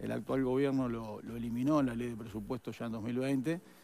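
Light background noise runs beneath a man whose intonation stays fairly even. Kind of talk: interview answer. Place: studio. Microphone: headset.

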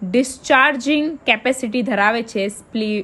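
Her pitch is high, and this woman's voice makes very wide pitch swings. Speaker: exam-prep YouTuber. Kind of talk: tutorial. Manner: repetitive, stumbling over words.

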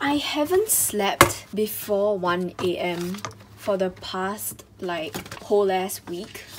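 The pitch varies in an ordinary way over loud background noise. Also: woman. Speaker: student vlogger. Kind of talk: casual vlog chat. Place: home room. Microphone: phone near.

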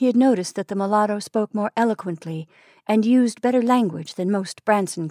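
A natural voice reads aloud. Its pitch varies by an ordinary amount.

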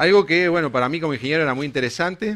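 A man speaks with a Uruguayan accent at a fairly high pitch. His intonation is lively. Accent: Uruguayan Spanish (rioplatense). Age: 40s. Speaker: engineer and company co-founder; conference speaker. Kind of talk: conference talk. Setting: stage with audience. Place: hall. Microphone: headset.

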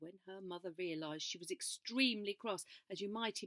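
With ordinary pitch variation, the delivery is an unforced reading voice.

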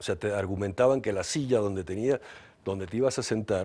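Fairly low in pitch, a man speaks at a fairly quick pace with ordinary pitch variation. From Venezuela. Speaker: advertising executive. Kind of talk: interview. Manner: halting. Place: studio. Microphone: lapel.

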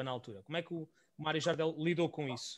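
A man is speaking here. His pace is fairly quick. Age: 30s. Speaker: podcast host. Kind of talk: interview. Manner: halting.

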